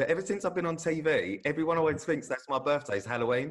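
A man, fairly high-pitched for a man, with a fairly bright tone, ordinary pitch variation and a fast pace

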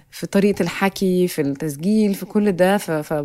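A woman's fairly low voice with a dark, mellow tone, fairly even intonation and a moderate pace, on a very clean recording with a silent background. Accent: Egyptian. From Egypt. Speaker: podcast production manager. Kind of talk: casual chat.

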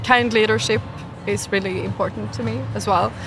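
Moderate-paced speech from a woman, with music in the background. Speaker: marketing executive. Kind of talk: interview.

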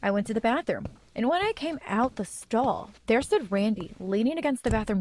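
The reading voice is natural, its intonation lively.

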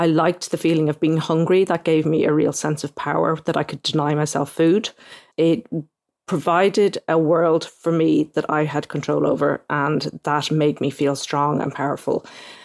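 With an Irish accent, a woman speaks at a moderate pace in a monotone, flat way at a very deep, low pitch, on a very clean recording with a silent background and a dry, close sound with no echo. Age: 40s. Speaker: newspaper correspondent. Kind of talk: interview.

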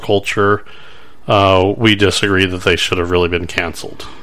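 Amid noticeable background noise, a man with a very deep, low pitch speaks in a monotone, flat intonation. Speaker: podcast host. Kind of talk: casual chat. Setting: studio.

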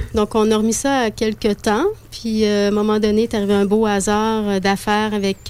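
A woman's voice at medium pitch, moderate in pace: a normal speaking voice. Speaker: festival director. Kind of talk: interview. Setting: studio.

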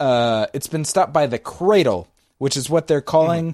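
An ordinary speaking voice from a man with an American accent, fairly high in pitch, with ordinary pitch variation and a dry, close sound with no echo. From United States. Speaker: podcast co-host. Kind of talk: casual chat.

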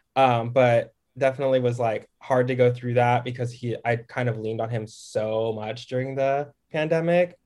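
Using an ordinary speaking voice, a man with an American accent speaks at a moderate pace and medium pitch, with fairly even intonation and hardly any pauses. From Texas, Dallas-Fort Worth. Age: 20s. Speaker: TikTok creator. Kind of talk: casual chat.

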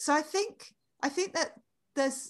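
A woman with a British accent at a fairly slow pace against a quiet background. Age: 40s. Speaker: author. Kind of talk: casual interview chat.

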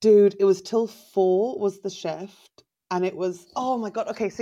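A woman speaks with an English accent at a medium pitch and a moderate pace. Her tone is dark and mellow, with ordinary pitch variation. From England. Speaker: stand-up comedian. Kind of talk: casual chat.

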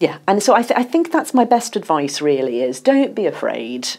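A woman speaks at a moderate pace with a medium-pitched voice and vocal fry. Her pitch swings very widely. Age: 50s. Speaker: journalist and author. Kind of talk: interview.

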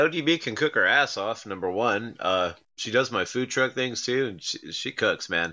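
Speaking at a moderate pace, a man with an ordinary speaking voice and medium pitch uses lively intonation. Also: hardly any pauses. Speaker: wrestling promoter. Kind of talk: casual interview chat.

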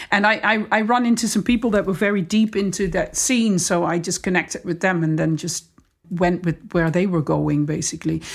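A woman with a Dutch accent speaks at a medium pitch and fairly quick pace with ordinary pitch variation, on a very clean recording with a silent background. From southern Netherlands, between Den Bosch and Eindhoven. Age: 40s. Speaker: DJ and music producer. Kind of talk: casual chat.

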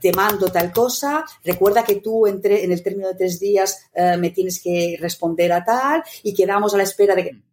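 Using an unremarkable speaking voice, a woman talks at a moderate pace and medium pitch with lively intonation. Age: 60s. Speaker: meetings consultant and author. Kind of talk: interview.

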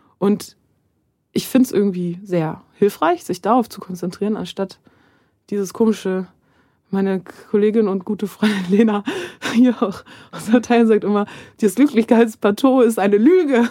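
Taking long, frequent pauses, a woman speaks in a dark, mellow tone with big swings in loudness. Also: medium pitch for a woman, ordinary pitch variation, moderate pace. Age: 30s. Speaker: screenwriter. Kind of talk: casual chat.

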